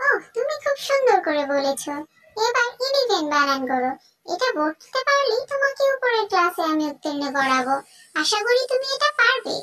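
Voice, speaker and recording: In a squeaky, cartoonish character voice, the speaker moves at a moderate pace with very wide pitch swings. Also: woman, extremely high pitch for a woman. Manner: crisp, schoolmarmish questioning.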